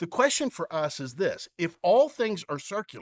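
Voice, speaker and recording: A man's voice moves through very wide pitch swings. The recording is very clean with a silent background and a dry, close sound with no echo. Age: 60s. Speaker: pastor. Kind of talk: sermon.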